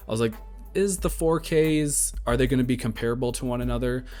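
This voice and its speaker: Music plays in the background as a man talks. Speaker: podcast host. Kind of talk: casual podcast talk.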